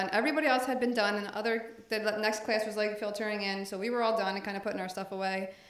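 Very fast delivery with fairly even intonation, noticeable background noise and audible room echo. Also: woman. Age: 40s. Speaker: paralegal and business owner, gym member. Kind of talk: casual interview.

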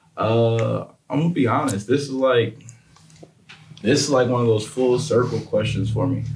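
The speech has fairly even intonation with long, frequent pauses. Noticeable background noise runs underneath. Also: man, medium pitch for a man, moderate pace. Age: 20s. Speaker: fitness trainer and business owner. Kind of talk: casual chat.

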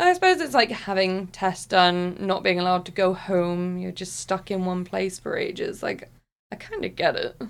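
In a very clean recording with a silent background, a woman speaks at a moderate pace in a West Country accent. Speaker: podcast co-host. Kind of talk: casual chat.

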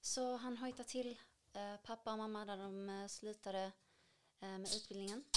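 Against noticeable background noise, a woman speaks at a moderate pace with a fairly high pitch and fairly even intonation. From Syria. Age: 20s. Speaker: cultural activist and dancer. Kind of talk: interview.

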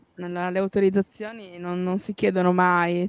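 A woman talks in a plain, everyday voice at medium pitch. Her fairly slow delivery has a dry, close sound with no echo. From Piedmont, Italy (province of Cuneo). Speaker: urban exploration photographer. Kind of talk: casual chat.

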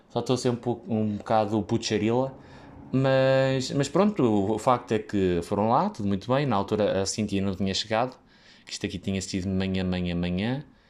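Speaking with a European Portuguese accent, a man uses a fairly low pitch, ordinary pitch variation and a moderate pace. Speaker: podcaster who works in hospitality. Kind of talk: casual solo monologue. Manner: halting, many fillers.

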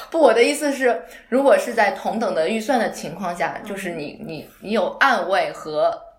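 A woman with a fairly high voice moves at a moderate pace, her pitch swinging very widely, while background noise remains noticeable. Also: big swings in loudness. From outside Beijing, China. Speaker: home design researcher. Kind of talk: casual chat.

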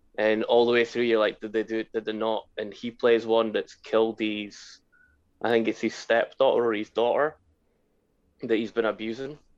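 A man speaks in a Scottish accent at a medium pitch. His pace is moderate, and the background is quiet. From Scotland. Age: 40s. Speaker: podcast co-host. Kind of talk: casual chat.

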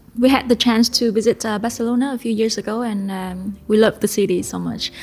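A woman speaks in a Vietnamese accent with a fairly high pitch, a somewhat breathy quality, and flat, monotone intonation. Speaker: podcast co-host, restaurateur. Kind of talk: casual interview. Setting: studio.

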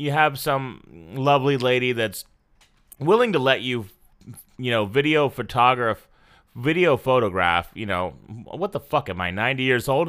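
Using a plain, everyday voice, a man speaks at a moderate pace and medium pitch with lively intonation. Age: 30s. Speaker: pop culture podcast host. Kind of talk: solo podcast commentary. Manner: casual, with many filler words.

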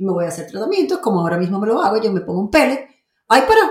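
A woman speaks at a fairly quick pace in a somewhat breathy, animated tone with lively intonation. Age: 50s. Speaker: podcast host and faith-based life coach. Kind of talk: monologue.

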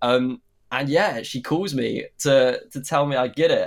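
Fairly slow speech from a man with a British accent, fairly high in pitch, with ordinary pitch variation. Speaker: actor. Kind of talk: casual interview. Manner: casual, hesitant.

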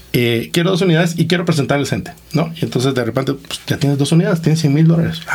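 A man with a slight Costa Rican accent talks very fast at a fairly high pitch, with hardly any pauses and ordinary pitch variation. Background noise is noticeable. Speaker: entrepreneur, investment fund co-founder. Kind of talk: interview.

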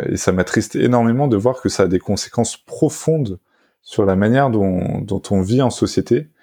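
A man's medium-pitched voice, dark and mellow in tone, at a moderate pace, with very even loudness and ordinary pitch variation. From France, Paris region (Essonne). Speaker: tech journalist. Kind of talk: interview. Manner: halting, with frequent repetitions.

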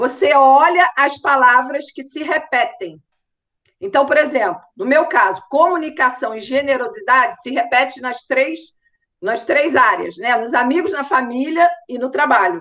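A woman's high-pitched voice, bright and sharp in tone, with big swings in loudness. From Rio de Janeiro, Brazil. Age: 50s. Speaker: marketing mentor and influencer. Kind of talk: interview.

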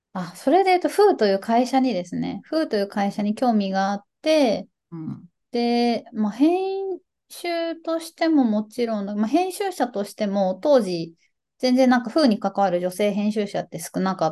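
Her voice is fairly high for a woman, with a dark, mellow tone and very wide pitch swings. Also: moderate pace, quiet background. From Hokkaido, Hakodate. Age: 30s. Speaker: company staff editor and writer. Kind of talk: interview conversation. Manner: halting.

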